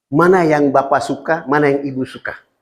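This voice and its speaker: This man's voice sits fairly high. He takes his time at a fairly slow pace. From Papua, Indonesia (Fakfak). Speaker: Islamic preacher. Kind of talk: sermon.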